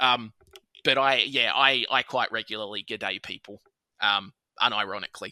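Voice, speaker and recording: A man with an Australian accent talks at a moderate pace in a bright, sharp tone. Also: dry, close sound with no echo. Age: 30s. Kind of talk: casual chat.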